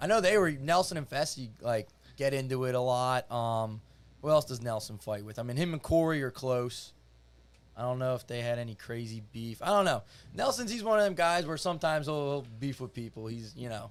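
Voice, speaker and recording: On a very clean recording with a silent background, a man with a Philadelphia accent speaks fairly quickly at medium pitch with lively intonation. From Philadelphia area, US. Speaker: reality TV contestant. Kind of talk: casual chat. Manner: casual, filler-heavy.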